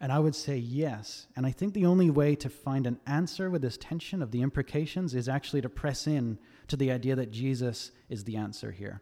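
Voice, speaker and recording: With hardly any pauses, a man talks in a dark, mellow tone at a medium pitch with ordinary pitch variation, on a very clean recording with a silent background. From Australia.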